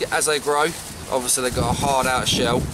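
Noticeable background noise behind a male voice. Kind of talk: casual fishing vlog tutorial. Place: waterside. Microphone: phone near.

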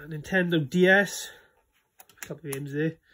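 The speaker is a man with a Welsh accent and a fairly high pitch. He goes at a fairly slow pace with fairly even intonation. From Wales. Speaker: collector giving a room tour. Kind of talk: casual talk to camera. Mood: shy, friendly first video. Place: home room. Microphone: phone near.

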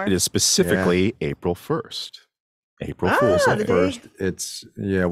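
A man at a very slow pace, in a dry sound with no echo. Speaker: tech show producer, guest segment host. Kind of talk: casual podcast banter, reading headlines. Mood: playful, relaxed. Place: home room. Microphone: studio mic.

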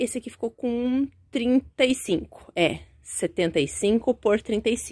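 A woman's fairly high, lively voice against a quiet background. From Brazil. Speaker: small business owner presenting products. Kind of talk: product demonstration. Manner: casual, conversational. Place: workshop. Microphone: phone near.

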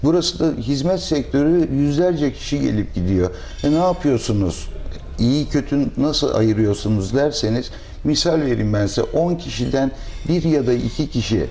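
A man's speech carries lively intonation and keeps a moderate pace. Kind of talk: interview answer. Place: cafe.

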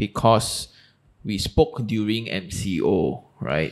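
A man speaks with vocal fry. His pitch is fairly low. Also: quiet background. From Malaysia. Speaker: podcast host. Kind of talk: casual interview. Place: studio. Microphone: studio mic.

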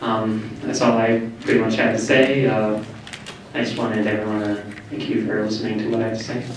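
A man with an American accent, fairly quick and monotone, with flat intonation, strong room echo and light background noise. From US Midwest, Merrill, Wisconsin; Wisconsin. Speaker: university student; audience member. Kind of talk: public comment at a listening session. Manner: unscripted, hesitant. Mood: polite, slightly nervous. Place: hall.

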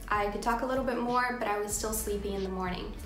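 A woman with fairly even intonation, audible room echo and light background noise. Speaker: vlogger. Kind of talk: casual talk to camera. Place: home room. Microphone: phone near.

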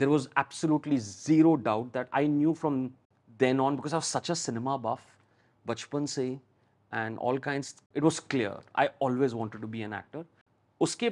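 Against a quiet background, a man talks at a fairly quick pace with medium pitch and lively intonation. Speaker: TV and film actor; actor guest. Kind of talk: interview; interview answer. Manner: talkative. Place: studio. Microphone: lapel.

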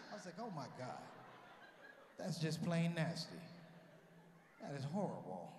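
A man with an American accent talks at a high pitch, using ordinary pitch variation and long, frequent pauses. Noticeable background noise is present. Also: moderate pace. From United States. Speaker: stand-up comedian. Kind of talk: stand-up comedy to a live audience. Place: hall. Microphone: handheld.

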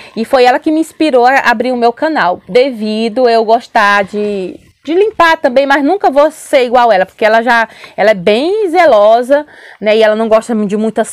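Speaking at a moderate pace, a woman with fairly high pitch uses lively intonation against a quiet background. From Brazil. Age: 40s. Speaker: family vlogger. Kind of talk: casual vlog chat. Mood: calm, relaxed. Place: home room. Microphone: lapel.

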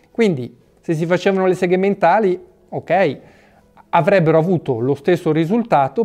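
This man's dark, mellow tone carries lively intonation, set against a quiet background. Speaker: fitness channel host. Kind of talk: opinion talk to camera. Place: home room.

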